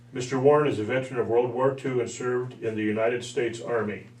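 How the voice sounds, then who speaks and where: Amid noticeable background noise, a man speaks fairly quickly at a medium pitch in a monotone, flat intonation. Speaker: interviewer. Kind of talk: interview questions.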